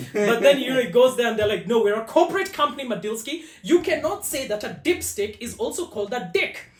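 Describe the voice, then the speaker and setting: Over noticeable background noise, a man talks loudly and at a very fast pace, his extremely high pitch making very wide swings, with hardly any pauses. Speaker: automotive content creator. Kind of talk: podcast interview. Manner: loud, talkative.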